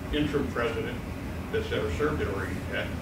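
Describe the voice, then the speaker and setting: A man's voice comes through audible room echo and loud background noise. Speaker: associate head coach introducing the speaker. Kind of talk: formal introduction of a speaker. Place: meeting room. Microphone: camera far.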